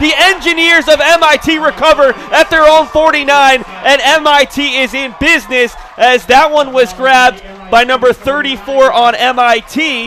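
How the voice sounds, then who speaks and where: Over noticeable background noise, a man uses a raised, projected voice at an extremely high pitch, with ordinary pitch variation and a moderate pace. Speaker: sports play-by-play broadcaster. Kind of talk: live football play-by-play commentary. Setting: broadcast booth.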